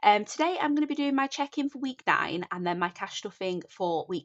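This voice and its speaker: Speaking at a fairly quick pace, a woman with a Northern English accent makes very wide pitch swings. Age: 30s. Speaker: budgeting content creator. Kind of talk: casual talk to camera.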